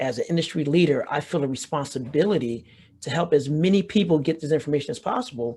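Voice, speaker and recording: A man with a fairly high voice talks at a fairly quick pace, somewhat breathy, with ordinary pitch variation. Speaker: business founder and health tech speaker. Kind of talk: webinar presentation. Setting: online webinar. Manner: fast.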